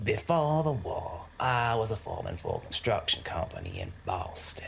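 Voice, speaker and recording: A man puts on a character voice at a medium pitch. He goes at a moderate pace, with clear background noise behind him. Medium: audio drama. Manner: brash, crude and boastful.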